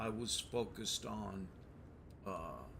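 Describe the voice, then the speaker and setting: A man speaks at a very slow pace in a fairly low pitch, his tone relaxed yet bright and sharp. Audible room echo hangs around the voice. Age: 60s. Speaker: gaming streamer, Navy veteran. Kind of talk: gameplay commentary. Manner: hesitant, many fillers; relaxed, casual.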